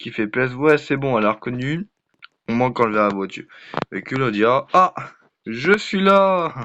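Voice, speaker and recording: This man talks at a medium pitch. His pitch swings very widely. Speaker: gaming youtuber. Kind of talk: gameplay commentary. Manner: halting, many fillers.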